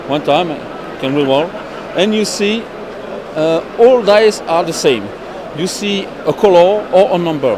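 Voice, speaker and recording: High-pitched male voice in a French accent, with lively intonation, a fairly slow pace, long, frequent pauses, audible room echo and noticeable background noise. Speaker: board game publisher representative. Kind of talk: product demonstration interview. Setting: busy trade fair. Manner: halting.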